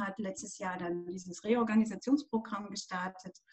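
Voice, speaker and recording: A woman speaks in an unremarkable speaking voice at a medium pitch. Her pace is fairly slow, with ordinary pitch variation. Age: 50s. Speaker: pilates and yoga instructor. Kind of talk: casual interview.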